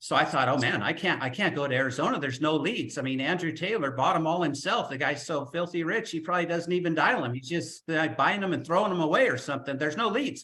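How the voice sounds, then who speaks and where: At a very fast pace with hardly any pauses, a man speaks in a bright, sharp tone at a fairly high pitch. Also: ordinary pitch variation. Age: 60s. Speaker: life insurance agent. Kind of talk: webinar talk. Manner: animated.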